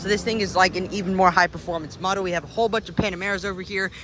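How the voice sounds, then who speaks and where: Raised and projected, a man's high-pitched voice carries an animated tone over noticeable background noise. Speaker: car vlogger. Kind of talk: walkaround video commentary. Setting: car showroom. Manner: fast.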